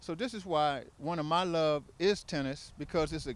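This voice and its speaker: In an American accent, a man talks at a moderate pace, the sound dry with no echo and light background noise behind him. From Washington. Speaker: tennis site director. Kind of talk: interview testimony; interview answer. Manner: halting. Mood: warm, proud. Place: open country. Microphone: handheld.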